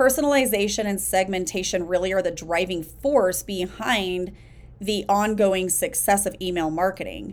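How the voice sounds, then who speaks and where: At a moderate pace and medium pitch, a woman talks in a plain, everyday voice. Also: ordinary pitch variation. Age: 40s. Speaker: business coach podcast host. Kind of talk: solo podcast monologue.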